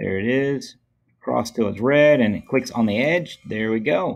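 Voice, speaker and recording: Speech at a fairly slow pace with ordinary pitch variation over light background noise. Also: man. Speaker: teacher. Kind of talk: tutorial. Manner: casual. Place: home room.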